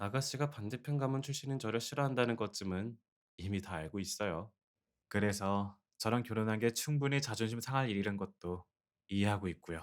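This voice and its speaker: In an unremarkable speaking voice, a man talks fairly quickly at a fairly low pitch with ordinary pitch variation. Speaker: ASMR roleplay voice actor. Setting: close-mic studio recording, speaking to a listener as a wife. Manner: soft-spoken, gentle, tender, coaxing; playful, warm, with soft laughs.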